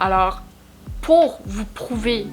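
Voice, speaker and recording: A woman's medium-pitched voice with a Quebec accent, with music in the background. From Quebec, Abitibi-Témiscamingue (Rouyn-Noranda). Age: 20s. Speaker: vlogger and makeup creator. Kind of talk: casual vlog introduction to camera.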